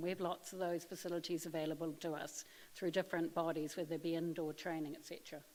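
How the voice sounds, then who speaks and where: Talking at a very fast pace, a woman with a New Zealand accent has a fairly low pitch. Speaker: occupational therapist manager. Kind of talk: conference presentation. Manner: hesitant, many ums.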